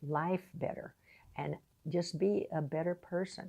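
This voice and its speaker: A woman talks at a fairly slow pace. Her fairly low voice has a dark, mellow tone. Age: 80s+. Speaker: retired piano teacher. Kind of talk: casual talk to camera.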